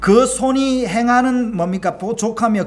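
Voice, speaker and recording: Speaking fairly slowly with a Gyeongsang accent, a man is heard with audible room echo around him. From Gyeongsang region, South Korea. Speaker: pastor. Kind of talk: sermon. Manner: halting, with many fillers.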